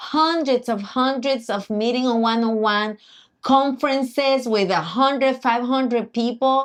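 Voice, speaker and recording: Against a quiet background, a woman with a Puerto Rican accent speaks fairly slowly at a high pitch, with ordinary pitch variation. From Puerto Rico. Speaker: accountant and financial coach. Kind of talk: live stream chat. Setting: live stream.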